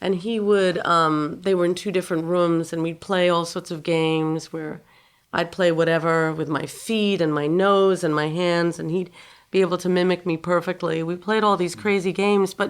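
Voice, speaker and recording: A woman speaks with a New York accent at a fairly low pitch. Her intonation is fairly even and her pace moderate. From New York City, Upper West Side. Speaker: guitarist. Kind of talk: interview.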